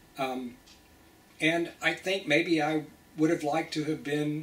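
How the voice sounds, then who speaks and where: A man's fairly high voice carries fairly even intonation, with noticeable background noise behind it. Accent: American. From US South, Nashville, Tennessee. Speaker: pathologist. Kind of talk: personal talk to a professional group. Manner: hesitant, many fillers.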